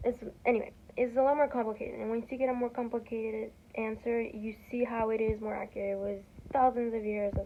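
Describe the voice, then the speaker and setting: Over noticeable background noise, a woman talks at a very fast pace, fairly high in pitch with monotone, flat intonation. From Peru (Lima). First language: Spanish. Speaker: student vlogger. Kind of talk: casual vlog talk. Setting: dorm room. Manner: rambling with many fillers and self-corrections.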